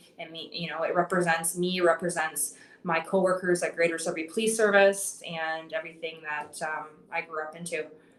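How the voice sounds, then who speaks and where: A woman with a Canadian accent at a fairly low pitch, fairly quick in pace, monotone and flat, with big swings in loudness over noticeable background noise. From Canada, northern Ontario. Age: 30s. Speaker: pro wrestler. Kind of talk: podcast interview.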